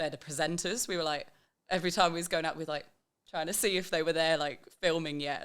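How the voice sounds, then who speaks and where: Speaking at a very fast pace with an English accent, a woman uses a very deep, low pitch and fairly even intonation. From England. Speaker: backpacker on working holiday. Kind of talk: casual chat.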